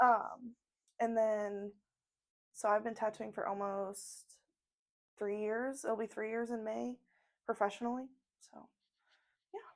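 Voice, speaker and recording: A woman with an American accent, fairly high-pitched, in a monotone, flat delivery at a fairly slow pace, with long, frequent pauses and big swings in loudness. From US Midwest (southern Indiana). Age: 20s. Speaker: tattoo artist. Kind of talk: casual chat. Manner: hesitant, many fillers.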